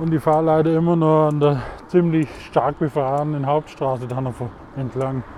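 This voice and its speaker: Noticeable background noise sits under a man with a fairly high pitch. He talks at a moderate pace in a monotone, flat intonation. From Swabia, Germany. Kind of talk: casual monologue. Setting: outdoors, riding a mountain bike.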